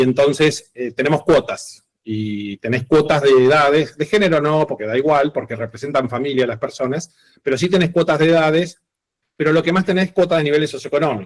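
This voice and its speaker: At a fairly quick pace, the speech shows ordinary pitch variation. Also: man, fairly high pitch for a man. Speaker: teacher. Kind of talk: online class lecture. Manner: fast.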